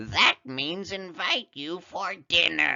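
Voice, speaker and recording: A man's put-on character voice, raspy and high, at a very slow pace. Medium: read story.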